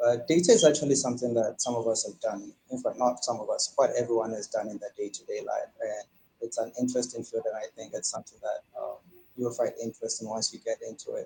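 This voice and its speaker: A very fast pace with big swings in loudness. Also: man. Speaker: data analyst. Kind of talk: livestream interview. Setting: live video stream. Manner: soft-spoken.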